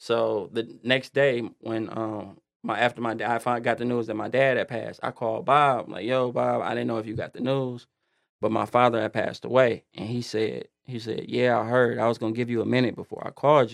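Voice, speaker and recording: A man with an American accent speaks fairly quickly at a medium pitch. His intonation is monotone and flat over a quiet background. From Detroit, Michigan, US. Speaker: music and media entrepreneur. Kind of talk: casual chat.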